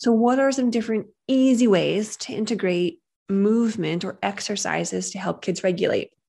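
A woman speaks at a moderate pace in a fairly high pitch with ordinary variation. Her tone is dark and mellow. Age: 30s. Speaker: podcast host, parenting behavior specialist. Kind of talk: casual educational monologue. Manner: conversational.

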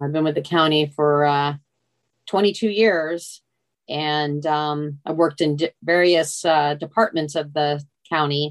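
A woman with an American accent, very deep and low in pitch, at a fairly slow pace with fairly even intonation. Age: 60s. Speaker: retiree, mother of the host. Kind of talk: casual interview. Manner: halting.

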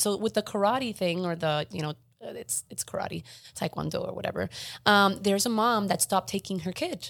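With ordinary pitch variation and some vocal fry, a woman speaks at a medium pitch. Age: 40s. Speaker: podcast co-host. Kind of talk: casual chat. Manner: fast talker.

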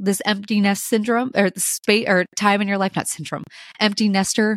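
A woman speaks. The sound is dry and close, with no echo. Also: very clean recording, silent background. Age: 30s. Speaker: podcast host, mother. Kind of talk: casual solo podcast monologue. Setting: home kitchen.

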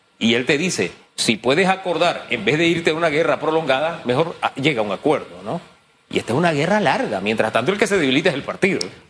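Talking very fast, a man with a fairly high voice uses lively intonation. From Panama, Chiriquí. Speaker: radio host. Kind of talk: radio interview.

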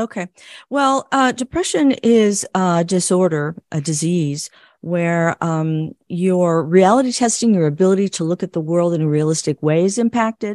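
A woman with an American accent speaks at a moderate pace in an unremarkable speaking voice, her pitch fairly low and her intonation lively. The sound is dry and close with no echo, over a quiet background. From US Midwest. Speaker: psychologist and clinical social worker. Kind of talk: interview.

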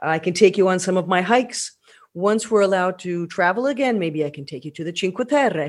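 With an American accent, a woman talks at a fairly quick pace in a medium pitch, her intonation lively and her loudness swinging widely. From Pennsylvania. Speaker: tour guide. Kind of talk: podcast monologue. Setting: alone at home.

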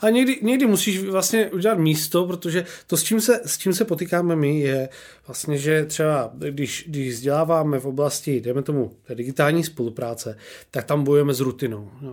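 This man has an unremarkable speaking voice, pitched fairly high, with lively intonation. He talks at a moderate pace on a very clean recording with a silent background. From Czechia, Olomouc. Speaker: podcast host. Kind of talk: interview.

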